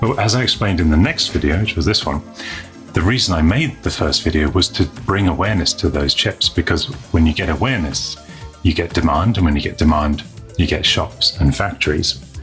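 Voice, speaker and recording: With faint music in the background, a man with a very deep, low voice talks at a fairly quick pace. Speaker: show host. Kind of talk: news show presenting. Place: studio.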